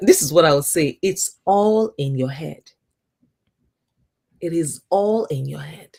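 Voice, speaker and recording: A woman with a strong African accent and a fairly low pitch speaks very slowly, with lively intonation, big swings in loudness and long, frequent pauses. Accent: thick African. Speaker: YouTube coach. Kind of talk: interview.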